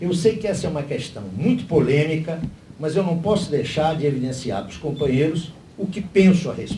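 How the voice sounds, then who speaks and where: Over audible room echo, a man talks at a fairly quick pace in a fairly high pitch, with lively intonation and big swings in loudness. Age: 60s. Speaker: party lecturer at a political seminar. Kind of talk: lecture.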